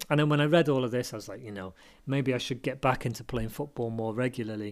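He speaks with a British accent. The voice belongs to a man. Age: 40s. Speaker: podcast host. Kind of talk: solo monologue. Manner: halting.

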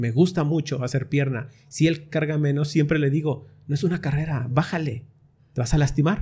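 Somewhat breathy and dark, mellow in tone, a man talks at a moderate pace with fairly even intonation. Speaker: voice-over announcer and podcast host. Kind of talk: casual chat.

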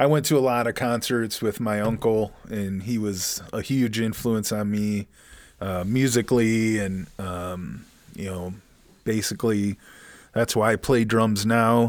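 On a very clean recording with a silent background, a man with an unremarkable speaking voice talks at a fairly low pitch and a fairly slow pace. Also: fairly even intonation. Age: 40s. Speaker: podcast co-host and musician. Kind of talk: casual chat.

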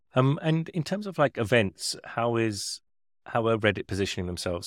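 This man has a normal speaking voice, talking at a fairly quick pace with lively intonation, and the sound is dry and close with no echo. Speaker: podcast host. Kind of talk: casual interview chat.

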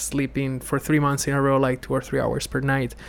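Fairly high in pitch, a man with an Italian accent speaks in a monotone, flat intonation. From Italy. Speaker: podcast interviewer and content creator. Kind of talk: casual interview conversation. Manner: halting, self-correcting, reflective.

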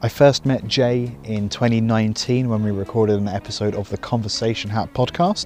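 Fairly low-pitched male voice at a fairly quick pace, with music in the background. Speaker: podcast host, musician and music educator. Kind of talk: podcast intro and interview. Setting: outdoors. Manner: rambling.

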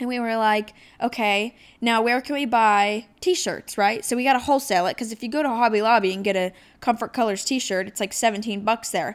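A woman with a normal speaking voice and an American accent talks at a fairly quick pace, her pitch fairly high with ordinary variation, in a very clean recording with a silent background. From Ohio. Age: 20s. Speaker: podcast host, small business owner. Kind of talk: solo podcast monologue. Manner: casual, chatty.

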